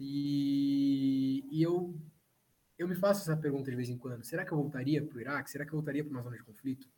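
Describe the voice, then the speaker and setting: Speaking very fast, a man with a fairly high voice keeps his intonation fairly even. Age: 30s. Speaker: journalist. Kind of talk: casual chat.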